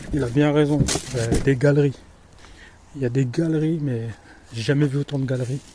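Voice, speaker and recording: A man with a Berry accent and fairly high pitch, at a moderate pace with long, frequent pauses and fairly even intonation, over noticeable background noise. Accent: Berry accent (central France). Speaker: dumpster-diving vlogger. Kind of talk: casual vlog monologue. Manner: hesitant, many fillers.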